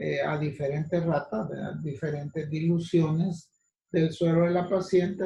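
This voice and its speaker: A man with a fairly high pitch talks at a fairly slow pace, keeping his intonation fairly even. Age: 60s. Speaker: physician lecturer. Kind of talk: lecture. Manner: halting.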